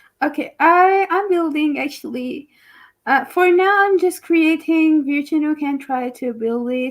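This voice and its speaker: A woman with a non-native accent speaks at a very slow pace in a high pitch with ordinary pitch variation. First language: not English. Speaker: project founder. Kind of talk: interview. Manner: halting.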